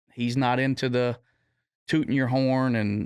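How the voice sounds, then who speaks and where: The recording is very clean with a silent background. A man speaks at medium pitch and a moderate pace. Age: 50s. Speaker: drag racer. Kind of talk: podcast interview.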